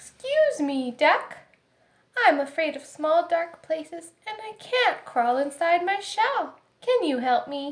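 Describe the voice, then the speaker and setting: A woman's put-on character voice, extremely high-pitched and at a fairly slow pace. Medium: read story. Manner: polite, timid.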